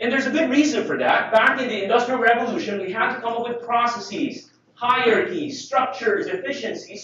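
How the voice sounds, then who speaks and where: With audible room echo, a man speaks at an extremely high pitch with lively intonation. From Philippines (Manila). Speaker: keynote speaker, tech consultant. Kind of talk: keynote presentation. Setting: stage with audience. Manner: animated.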